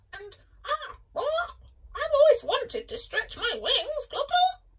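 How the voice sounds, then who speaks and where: A woman uses a put-on character voice at an extremely high pitch. She speaks at a very slow pace. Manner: clucking, eager.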